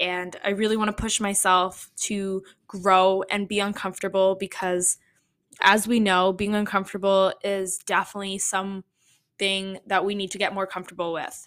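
A woman with a Canadian accent talks at a moderate pace in a monotone, flat intonation. The recording is very clean, with a silent background. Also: medium pitch for a woman. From Toronto, Canada. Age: 20s. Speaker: podcast host. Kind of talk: casual solo podcast monologue. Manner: frequent fillers (um, uh).

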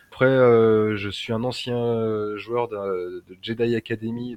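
The dry, close recording has no echo and carries a man's fairly low voice. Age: 30s. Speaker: lightsaber and martial arts instructor. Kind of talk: casual interview.

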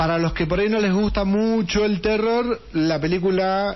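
A man talks at a fairly slow pace in a high pitch. Noticeable background noise sits under his voice. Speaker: radio host. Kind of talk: casual chat. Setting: studio.

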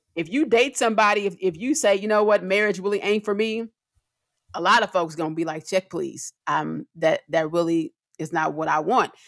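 Heard in a very clean recording with a silent background, the speaker talks at a moderate pace with lively intonation. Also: woman, medium pitch for a woman. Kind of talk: casual chat. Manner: animated, pitch rises when excited; preacher-like cadence when making a point.

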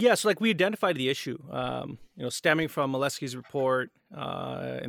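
The man's voice sits at a medium pitch in a dry, close sound with no echo. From Canada. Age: 30s. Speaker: editor-in-chief and co-founder of a news outlet. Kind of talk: interview. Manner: halting, many fillers.

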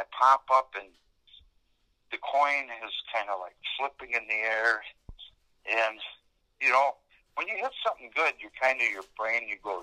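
In a dry, close recording with no echo, a man at medium pitch talks at a moderate pace with lively intonation, a bright, sharp tone and long, frequent pauses.

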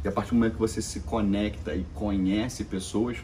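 A man with an ordinary speaking voice, fairly low in pitch, with fairly even intonation. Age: 20s. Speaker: entrepreneur. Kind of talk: interview.

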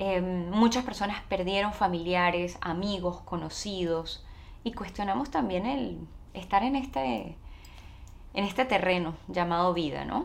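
A woman speaks with a Venezuelan accent at a medium pitch and a fairly slow pace. Her intonation is lively, and room echo is audible. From Venezuela, Caracas. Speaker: actress and TV presenter, immigration adviser. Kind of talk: interview.

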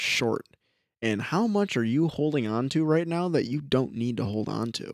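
The recording of this man is very clean, with a silent background. He uses an ordinary speaking voice at a moderate pace. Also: dry, close sound with no echo. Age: 20s. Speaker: podcast co-host. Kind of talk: casual chat.

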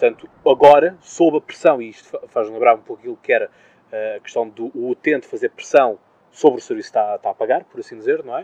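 Big swings in loudness mark this man's very fast speech, captured with a dry, close sound and no echo. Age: 20s. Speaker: podcast host. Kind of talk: interview. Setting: outdoor terrace.

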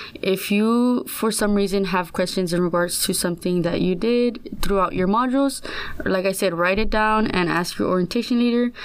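A woman with an American accent and a plain, everyday voice, at a medium pitch and moderate pace, with ordinary pitch variation and very even loudness. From San Antonio, Texas. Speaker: student orientation leader. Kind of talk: podcast interview.

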